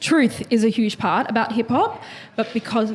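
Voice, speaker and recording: A woman with an Australian accent and fairly even intonation, amid noticeable background noise. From Melbourne, Dandenong. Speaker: hip-hop panelist. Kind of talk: panel discussion. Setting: live panel in a lounge venue.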